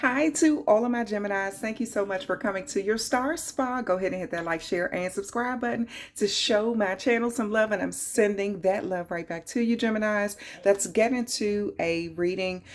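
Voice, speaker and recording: A woman speaks at a medium pitch with a strong Southern US accent. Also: ordinary pitch variation, moderate pace. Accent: heavy southern US. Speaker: tarot reader. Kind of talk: tarot reading.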